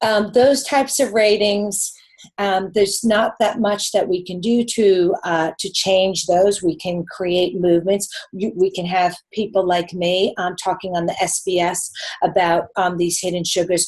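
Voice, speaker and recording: Speaking with a New York accent, a woman uses a medium pitch. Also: fairly slow pace. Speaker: nutritionist. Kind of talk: live webinar Q&A answer. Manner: animated.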